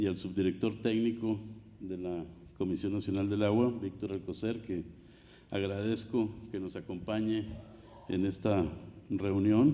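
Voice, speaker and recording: A man's dark, mellow, fairly low voice with a Spanish accent, at a moderate pace with fairly even intonation and long, frequent pauses, plus audible room echo. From Mexico. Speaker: water commissioner. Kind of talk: conference speech. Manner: formal.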